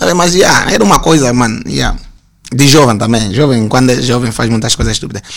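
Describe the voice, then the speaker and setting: A man's very fast, lively-toned speech at medium pitch, with noticeable background noise. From Luanda, Angola (Sambizanga). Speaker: graphic designer. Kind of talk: casual interview chat.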